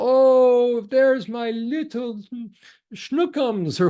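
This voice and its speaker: In a put-on character voice, the speaker talks at a fairly high pitch and a very slow pace. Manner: cooing, affectionate pet-talk.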